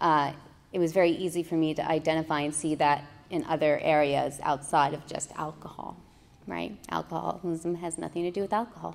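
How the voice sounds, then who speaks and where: A woman speaks in a very deep, low voice with vocal fry and an American accent. Her pace is fairly quick and her intonation fairly even. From US West Coast, San Francisco. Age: 30s. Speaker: recovering alcoholic sharing story. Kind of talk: recovery meeting share (testimony). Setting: meeting room with audience. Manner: hesitant, many fillers.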